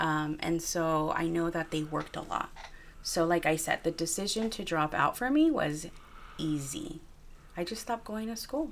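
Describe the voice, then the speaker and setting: In an American accent, a woman speaks at a fairly low pitch with ordinary pitch variation and a moderate pace. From Wilmington, Los Angeles, California. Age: 30s. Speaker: college program director and author. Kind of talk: interview.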